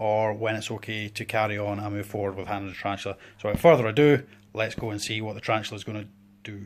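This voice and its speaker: In a Scottish accent, a man with a fairly low voice speaks at a very fast pace on a very clean recording with a silent background. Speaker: tarantula keeper. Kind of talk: casual talk to camera.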